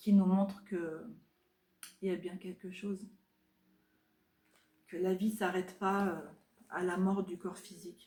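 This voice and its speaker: A woman speaks at a very slow pace with long, frequent pauses and monotone, flat intonation. Her voice is somewhat breathy and dark and mellow in tone, with big swings in loudness. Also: medium pitch for a woman. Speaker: craft and lifestyle vlogger. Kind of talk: casual chat. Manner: soft-spoken; halting.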